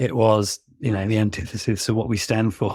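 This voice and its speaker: A man talks at a moderate pace with a British accent. The recording is very clean, with a silent background. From England, London. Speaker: barrister. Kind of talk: interview. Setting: podcast.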